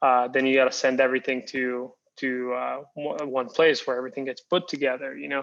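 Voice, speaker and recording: Speaking fairly quickly in a flat monotone, a man with a Spanish accent keeps to a medium pitch. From Costa Rica. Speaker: tequila company founder. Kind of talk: interview. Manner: hesitant, many fillers and repeats.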